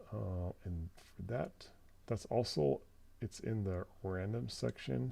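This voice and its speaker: The voice is soft-spoken and somewhat breathy, with a dark, mellow tone. It moves at a very slow pace with lively intonation. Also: man, very deep, low pitch for a man. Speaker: live streamer demonstrating synth sound design. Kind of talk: live stream tutorial. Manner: soft-spoken, talking low.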